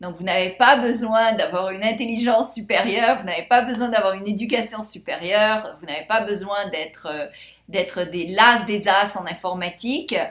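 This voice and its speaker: A woman with a fairly high pitch talks at a moderate pace, her pitch varying in an ordinary way while her loudness swings widely. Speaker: life coach and course seller. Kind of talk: sales pitch. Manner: animated.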